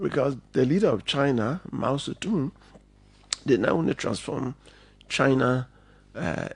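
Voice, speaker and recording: A man's medium-pitched voice with vocal fry and lively intonation at a moderate pace. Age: 60s. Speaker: politician and lawyer. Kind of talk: radio interview.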